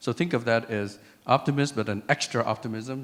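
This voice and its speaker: Recorded very cleanly against a silent background, a man speaks at a fairly quick pace with medium pitch and fairly even intonation. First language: French. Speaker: tech CEO and conference speaker. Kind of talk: conference talk. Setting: stage with audience. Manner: conversational.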